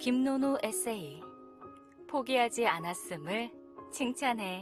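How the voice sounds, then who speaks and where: Music plays in the background as the voice moves at a very slow pace through very wide pitch swings. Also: woman, fairly high pitch for a woman. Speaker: voice actor. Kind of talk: audiobook reading.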